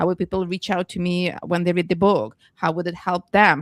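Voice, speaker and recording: Speaking in a Russian accent at a fairly quick clip, the voice comes through dry and close with no echo on a very clean recording with a silent background. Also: woman. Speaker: business book author and coach. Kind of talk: panel discussion.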